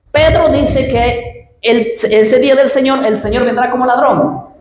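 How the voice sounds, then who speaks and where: Over noticeable background noise and audible room echo, a woman with a high voice speaks fairly slowly with lively intonation. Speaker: preacher. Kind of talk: sermon. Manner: animated.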